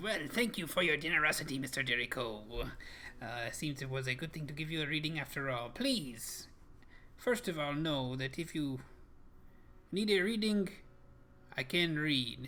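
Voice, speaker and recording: A man's put-on character voice, fairly high in pitch, at a moderate pace, with long, frequent pauses and clear background noise. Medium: actual play. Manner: cryptic, knowing.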